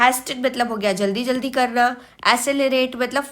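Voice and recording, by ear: Bright, sharp tone at a moderate pace with fairly even intonation. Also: woman.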